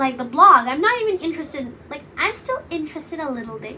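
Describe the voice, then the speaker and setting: Against noticeable background noise, a woman projects a raised, high voice with very wide pitch swings. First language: Bengali. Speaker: podcast host and YouTuber. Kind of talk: casual monologue. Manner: rambling, hesitant, many fillers. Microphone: poor audio quality.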